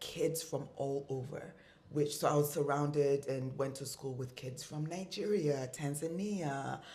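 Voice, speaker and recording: Audible room echo surrounds a woman's very deep, low voice as she speaks at a fairly slow pace with fairly even intonation. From East Africa, mainly Kenya. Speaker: fashion designer and entrepreneur. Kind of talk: interview conversation.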